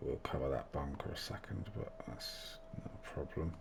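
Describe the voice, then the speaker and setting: Noticeable background noise sits behind this recording. A soft-spoken man talks at a fairly slow pace. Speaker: video game course design YouTuber. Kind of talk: tutorial. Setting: home recording, family in bed. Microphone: mic turned right up, may sound quiet.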